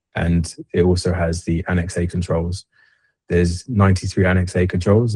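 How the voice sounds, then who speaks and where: Over a quiet background, a man with a very deep, low voice speaks in a dark, mellow, somewhat breathy tone with monotone, flat intonation. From London, England. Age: 30s. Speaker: army veteran turned cybersecurity consultant. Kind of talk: interview.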